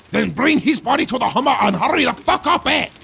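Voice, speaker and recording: Putting on a character voice, a man talks in a raised, projected voice at an extremely high pitch and a very fast pace, with lively intonation and very even loudness. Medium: comedy sketch. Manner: impatient, broken English.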